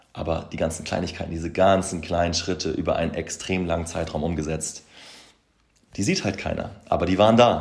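A man speaks fairly quickly in a very deep, low voice. His intonation is fairly even, and room echo is audible. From Hamburg, northern Germany. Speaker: podcast host, motivation coach. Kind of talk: solo podcast monologue.

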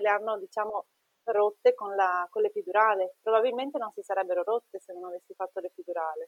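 A woman uses a normal speaking voice, fairly high in pitch, with lively intonation at a fairly quick pace. The sound is dry and close, with no echo. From northern Italy, Treviso (Veneto). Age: 30s. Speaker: nurse and mother. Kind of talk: personal testimony in interview.

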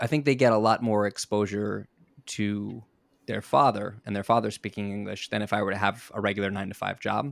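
Recorded very cleanly with a silent background and a dry, close sound with no echo, a man with an American accent uses a plain, everyday voice at a fairly low pitch, keeping a moderate pace and fairly even intonation. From US South Florida. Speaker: TV personality. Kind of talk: interview.

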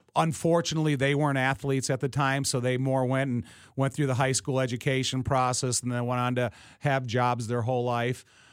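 A man with an American accent speaks in a normal speaking voice at medium pitch and a fairly quick pace. His intonation is fairly even, his loudness very even, and the recording very clean with a silent background. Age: 50s. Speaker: former pro football player and broadcaster. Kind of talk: casual interview. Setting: studio.

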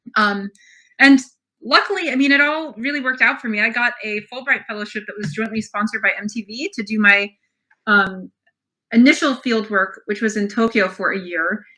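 A woman with an American accent speaks at a moderate pace. Her fairly high voice has a bright, sharp tone and ordinary pitch variation. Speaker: author and ethnomusicologist. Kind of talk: interview.

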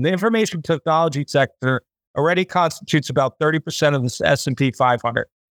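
A man with an American accent, an ordinary speaking voice, fairly high pitch, lively intonation and fairly quick pace, in a dry, close sound with no echo. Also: very clean recording, silent background. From United States. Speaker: podcast host. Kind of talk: casual chat.

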